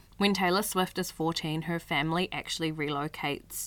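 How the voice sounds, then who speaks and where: On a very clean recording with a silent background, a woman speaks at a moderate pace in a fairly low pitch. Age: 20s. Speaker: podcast host. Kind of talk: casual solo podcast narration.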